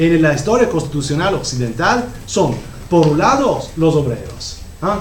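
With an Italian accent and lively intonation, the speaker goes at a fairly slow pace amid audible room echo and noticeable background noise. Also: man. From Italy. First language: Italian (speaking Spanish). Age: 50s. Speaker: professor. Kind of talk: lecture. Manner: halting.

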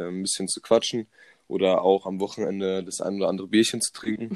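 With a plain, everyday voice, a man speaks at a fairly low pitch and fairly even intonation, in a dry, close sound with no echo. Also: quiet background. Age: 20s. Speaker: sports science student. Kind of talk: casual chat.

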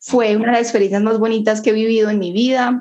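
With an unremarkable speaking voice, a woman talks at a fairly high pitch and with fairly even intonation. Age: 20s. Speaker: student. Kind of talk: casual conversation.

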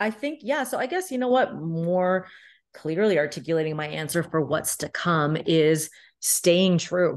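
Lively in intonation yet fairly slow, a woman speaks at a fairly low pitch in a plain, everyday voice against a quiet background. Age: 30s. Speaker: life and business coach. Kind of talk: casual chat.

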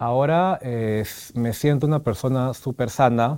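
Against a silent background in a very clean recording, a man speaks. His tone is dark and mellow, with ordinary pitch variation. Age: 30s. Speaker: HIV-positive patient. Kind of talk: interview testimony. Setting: studio with small audience.

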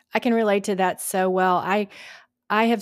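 In a very clean recording with a silent background, a woman with an American accent talks at a moderate pace with fairly even intonation. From Georgia, US South. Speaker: podcast host. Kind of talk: casual interview. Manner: halting, many fillers.

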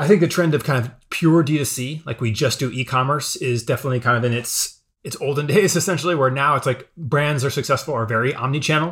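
A man talks in an unremarkable speaking voice, fairly high in pitch with ordinary pitch variation. He moves at a fairly quick pace with hardly any pauses. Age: 30s. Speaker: marketing content creator and brand consultant. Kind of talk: interview.

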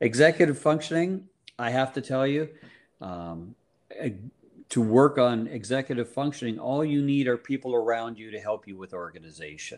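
A man with a plain, everyday voice speaks at a medium pitch and a moderate pace, with lively intonation and big swings in loudness, in a very clean recording with a silent background. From Canada, Guelph, Ontario. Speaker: psychologist. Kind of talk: interview.

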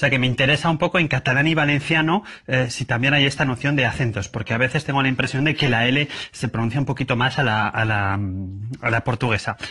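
With a Madrid accent, a man at a medium pitch speaks at a very fast pace with very even loudness and ordinary pitch variation, noticeable background noise behind him. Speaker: listener leaving a voice message. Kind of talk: recorded voice message.

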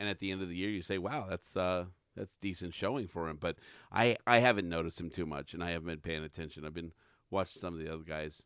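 Very deep and low, a man's voice races along at a very fast pace with ordinary pitch variation. The recording is very clean, with a silent background. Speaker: hockey team analyst. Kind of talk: hockey analysis discussion. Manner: casual, emphatic.

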